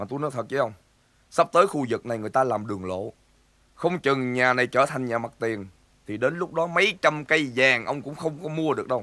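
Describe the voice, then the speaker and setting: Lively intonation runs through the speech. It moves fairly quickly. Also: man. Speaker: actor in comedy film. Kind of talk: scripted drama dialogue. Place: garden.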